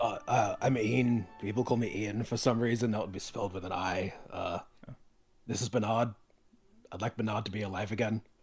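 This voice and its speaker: With a raspy, put-on character voice at medium pitch, a man speaks at a moderate pace with long, frequent pauses as faint music plays in the background. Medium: actual play. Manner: deadpan.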